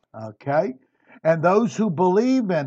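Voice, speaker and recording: Here a man speaks at a high pitch in a dark, mellow tone. His pitch swings very widely. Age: 60s. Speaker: Bible teacher. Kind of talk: Bible study lecture. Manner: conversational.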